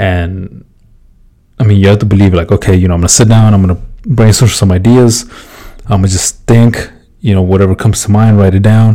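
A man with a dark, mellow tone and fairly low pitch talks at a fairly quick pace, using fairly even intonation, very even loudness, and long, frequent pauses. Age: 20s. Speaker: podcast host, construction worker. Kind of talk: casual monologue. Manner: casual, filler-heavy.

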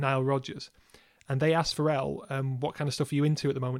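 Here a man speaks with a fairly high pitch and monotone, flat intonation. The recording is very clean, its background silent. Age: 30s. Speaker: podcast co-host, music reviewer. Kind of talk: casual chat.

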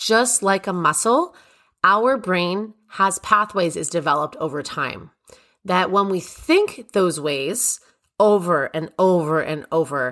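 An animated female voice at medium pitch, bright and sharp in tone, with lively intonation. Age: 30s. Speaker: confidence coach and podcast host. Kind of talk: solo motivational podcast talk. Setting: recording in a closet at home.

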